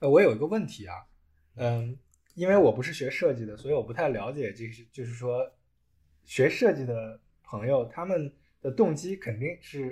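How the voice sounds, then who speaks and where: A man's medium-pitched, somewhat breathy voice, dark and mellow in tone, with lively intonation, big swings in loudness, a moderate pace and long, frequent pauses. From China. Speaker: automotive engineer. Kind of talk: casual chat.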